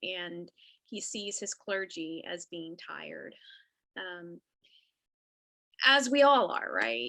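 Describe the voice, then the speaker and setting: A woman speaks very slowly in a Texas accent, with a bright, sharp tone. Her medium-pitched voice makes very wide pitch swings. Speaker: Episcopal priest. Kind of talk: casual chat. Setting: video call.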